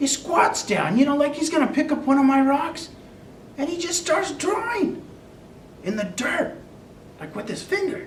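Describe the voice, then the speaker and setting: A put-on character voice speaks at a high pitch with long, frequent pauses. Clear background noise runs underneath. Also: moderate pace. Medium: audio drama. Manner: chatty, comic.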